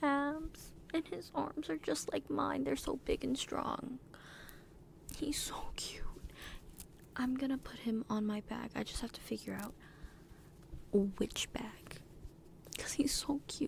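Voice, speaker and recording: Very slowly and with long, frequent pauses, a woman is whispering. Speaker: ASMR content creator. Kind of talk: ASMR trigger video, soft casual talk to camera. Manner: enthusiastic, stumbling, stuttering.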